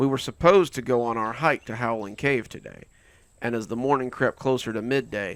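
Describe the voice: Intonation remains fairly even. The text is given as plain reading aloud.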